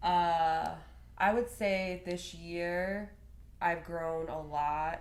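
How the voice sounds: Her intonation is fairly even. The woman speaks at a very slow pace. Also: fairly low pitch for a woman.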